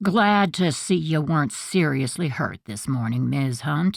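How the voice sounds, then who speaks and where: A put-on character voice at a low-to-middle pitch moves at a moderate pace on a very clean recording with a silent background. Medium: read story.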